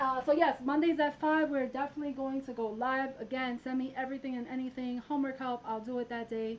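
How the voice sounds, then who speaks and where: Barely pausing, a woman speaks very fast in a high pitch with monotone, flat intonation over noticeable background noise. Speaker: math teacher and channel host. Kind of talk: live stream math tutorial. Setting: live stream. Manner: casual, chatty.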